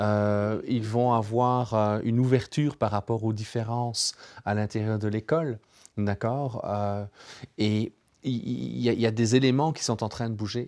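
A plain, everyday voice comes from a man at a medium pitch. He talks at a fairly slow pace with fairly even intonation against a quiet background. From Europe near Germany. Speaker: co-host, neuroscientist; co-host. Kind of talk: panel discussion. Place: studio.

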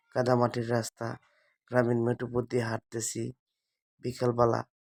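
A man speaks at a medium pitch with a Mymensingh accent. The recording is very clean and dry, close with no echo, over a silent background. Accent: Mymensingh regional dialect. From Bangladesh, greater Mymensingh (Netrokona). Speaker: video blogger. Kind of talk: walking vlog narration. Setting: outdoors, village path.

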